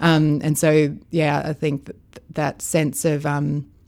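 An Australian accent marks this woman's speech. Her pitch is very deep and low. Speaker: foster carer. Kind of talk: interview.

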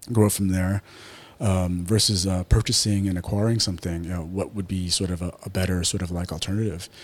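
A man talks fairly quickly in a very deep, low voice with fairly even intonation. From Taiwan, Taipei. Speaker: businessman and martial arts gym founder. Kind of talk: podcast interview. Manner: hesitant, many fillers.

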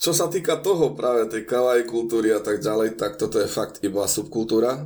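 At a moderate pace and with hardly any pauses, this is an ordinary speaking voice. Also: man. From eastern Slovakia, Spiš region. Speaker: Slovak expatriate in Japan. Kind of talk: casual interview.

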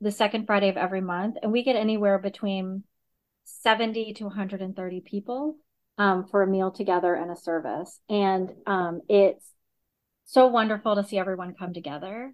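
In an American accent, a woman with a plain, everyday voice talks at a medium pitch and moderate pace with fairly even intonation. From US South, Augusta, Georgia. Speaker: synagogue executive director. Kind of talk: interview.

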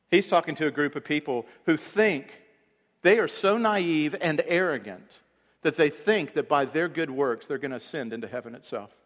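This is a normal speaking voice from a man with fairly high pitch. He goes at a moderate pace with lively intonation. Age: 40s. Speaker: pastor. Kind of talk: sermon. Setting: church.

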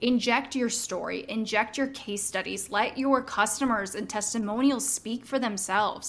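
A woman with a normal speaking voice, fairly high-pitched, at a moderate pace with fairly even intonation and hardly any pauses. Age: 30s. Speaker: social media marketing coach. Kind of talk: interview.

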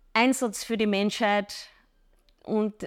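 On a very clean recording with a silent background, a woman speaks in a plain, everyday voice. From Upper Austria. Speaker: fitness trainer. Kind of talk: interview.

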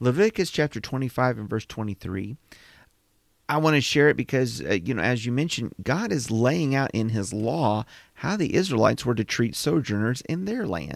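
With a normal speaking voice at a medium pitch, a man talks at a moderate pace with lively intonation in a very clean recording against a silent background. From Indiana, US Midwest. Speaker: Bible podcast co-host. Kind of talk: casual Bible discussion.

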